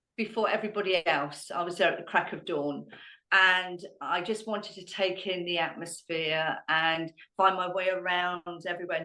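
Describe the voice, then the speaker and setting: Bright and sharp in tone, a woman speaks with a southern English accent, fairly low pitch and fairly even intonation. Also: moderate pace. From Hampshire, England. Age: 60s. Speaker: dog trainer and amateur ballroom dancer. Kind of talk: podcast interview answer.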